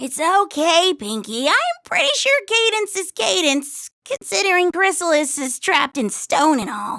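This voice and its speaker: In a cartoonish character voice, a woman speaks with an extremely high pitch and very wide pitch swings at a moderate pace, with hardly any pauses. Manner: blunt, dry.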